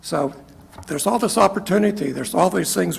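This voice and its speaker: A man speaks in an American accent, his intonation lively, while noticeable background noise runs underneath. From Kansas. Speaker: retired software executive giving testimony. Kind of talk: testimony. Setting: legislative committee hearing. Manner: halting.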